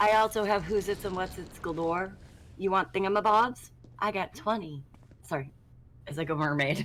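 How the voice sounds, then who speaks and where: Ordinary pitch variation comes at a moderate pace broken by long, frequent pauses. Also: woman. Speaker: streamer. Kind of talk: casual chat.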